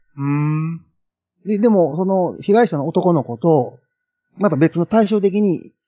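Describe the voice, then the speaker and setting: A man's voice comes across as somewhat breathy. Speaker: film enthusiast guest. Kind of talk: casual chat.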